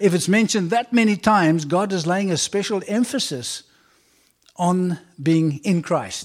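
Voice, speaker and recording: Here a man talks with a South African accent and a high pitch. His pace is fairly slow. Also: ordinary pitch variation. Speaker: visiting preacher. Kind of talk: sermon. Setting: church.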